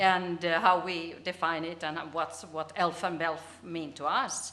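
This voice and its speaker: A woman with a Finnish accent speaks at a fairly slow pace, with audible room echo around her. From Finland. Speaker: business communication researcher. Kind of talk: conference presentation. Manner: halting.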